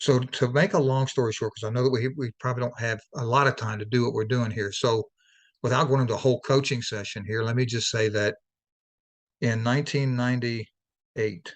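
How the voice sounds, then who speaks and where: Against a quiet background, a man talks fairly quickly at a medium pitch with fairly even intonation. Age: 60s. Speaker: life coach and author. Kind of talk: interview testimony. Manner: halting, many restarts.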